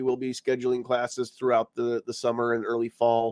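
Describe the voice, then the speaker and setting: The speech moves at a fairly quick pace. The sound is dry and close, with no echo. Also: man. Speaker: podcast host and firearms instructor. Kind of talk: casual chat. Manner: halting, many fillers.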